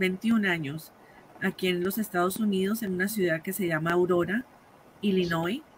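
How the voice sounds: A woman's voice sits at a fairly low pitch and carries a slightly husky edge.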